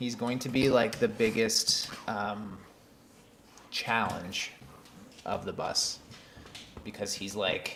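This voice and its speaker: A man with a medium pitch talks very slowly and with fairly even intonation, leaving long, frequent pauses amid noticeable background noise and audible room echo. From Canada. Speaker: vlogger. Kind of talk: casual chat. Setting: live stream at home desk. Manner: halting, many fillers.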